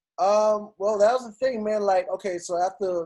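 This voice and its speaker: In a New York accent, a man speaks at a moderate pace with a dark, mellow tone. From New York City, Queens. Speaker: radio DJ. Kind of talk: casual interview. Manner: animated.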